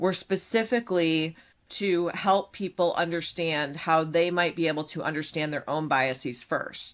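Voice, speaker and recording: In a very clean recording with a silent background, a woman speaks at a moderate pace with a fairly low pitch. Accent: Midwestern US. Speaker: podcast co-host and business owner. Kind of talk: casual podcast discussion.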